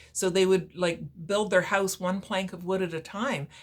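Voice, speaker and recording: Speaking at a medium pitch, a woman with a Canadian accent keeps a monotone, flat intonation. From Ontario, Canada (Brantford). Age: 60s. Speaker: author. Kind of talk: talk about own book to viewers. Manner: hesitant, many fillers.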